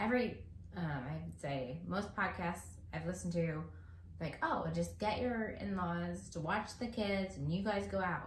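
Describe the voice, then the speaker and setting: The speaker goes at a fairly slow pace. Noticeable background noise and audible room echo are present. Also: woman. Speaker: podcast co-host, married parent. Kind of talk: casual chat.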